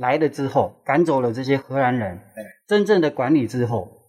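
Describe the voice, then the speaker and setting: Talking at a moderate pace with lively intonation, a man with a normal speaking voice is heard against a quiet background. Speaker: tour guide. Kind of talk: casual chat.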